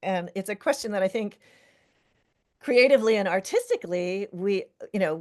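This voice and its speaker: A woman talks at a moderate pace with a fairly high pitch. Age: 70s. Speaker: fiber artist. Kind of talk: interview.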